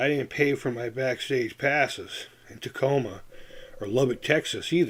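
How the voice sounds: A man uses a put-on character voice that is raspy and medium in pitch, with fairly even intonation. He talks at a moderate pace with big swings in loudness.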